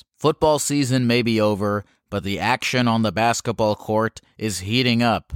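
A man with an ordinary speaking voice talks at a moderate pace with ordinary pitch variation, the sound dry and close with no echo. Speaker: call-in show host. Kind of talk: casual chat with callers.

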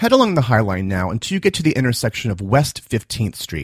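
In an American accent, a man speaks in a playful tone at a medium pitch with very wide pitch swings and vocal fry, captured on a very clean recording with a silent background and a dry, close sound with no echo. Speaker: podcast host and tour guide. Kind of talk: self-guided audio walking tour narration, scripted. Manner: conversational and wry, pointing out sights with playful asides; steady, directive narration guiding listener's gaze.

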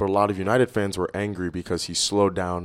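A man's fairly low-pitched voice at a fairly quick pace, an unremarkable speaking voice on a very clean recording with a silent background. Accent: American. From New York City. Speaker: soccer coach. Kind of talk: casual chat.

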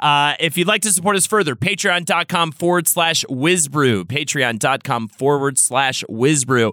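The tone is bright and sharp, with hardly any pauses. Delivery runs at a fairly slow pace. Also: man, fairly high pitch for a man. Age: 40s. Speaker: podcast host. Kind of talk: casual chat. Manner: halting, many fillers.

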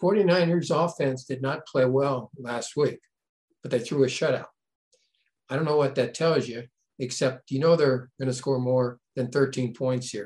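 A man's somewhat breathy, relaxed voice at medium pitch, with ordinary pitch variation. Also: fairly slow pace. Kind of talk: sports betting talk show banter. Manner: relaxed, conversational, hesitant with filler words.

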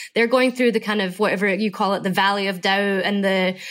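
A woman's medium-pitched voice, with fairly even intonation, comes through a very clean recording against a silent background. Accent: Scottish. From Scotland. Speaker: fashion entrepreneur. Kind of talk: interview conversation.

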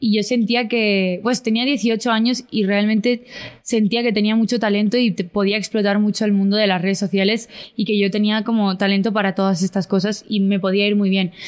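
A woman speaks at a moderate pace and medium pitch. Her intonation is monotone and flat, and her loudness stays very even. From Spain. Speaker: content creator and singer. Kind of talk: casual interview.

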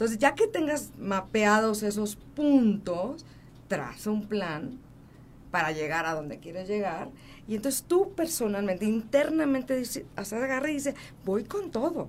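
At a fairly slow pace, a woman with a fairly high pitch moves through very wide pitch swings. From Mexico City. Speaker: motivational speaker and author. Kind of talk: interview. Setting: studio.

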